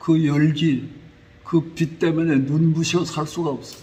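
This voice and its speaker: A man with a high pitch, at a very slow pace. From Korea. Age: 90s. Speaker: pastor. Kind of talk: sermon.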